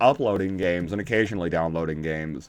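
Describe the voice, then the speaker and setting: This man speaks at a fairly quick pace. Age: 30s. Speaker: YouTuber playing video games. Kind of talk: gameplay commentary. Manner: hesitant, lots of um and uh; sometimes mumbling.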